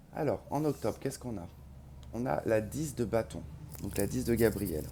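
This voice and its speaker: A man's quiet voice comes through. He speaks at a moderate pace. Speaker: tarot reader. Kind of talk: tarot reading to camera. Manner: quiet, cannot speak loudly; hesitant, many filler sounds.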